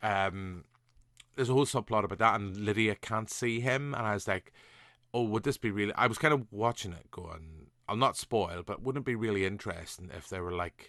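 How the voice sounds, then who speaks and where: With a Northern Irish accent, a man speaks at a moderate pace and fairly low pitch in a bright, sharp tone with ordinary pitch variation, the sound dry and close with no echo over a quiet background. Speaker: podcast host. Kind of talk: casual podcast conversation.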